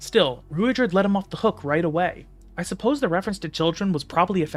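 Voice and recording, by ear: Natural-voiced reading aloud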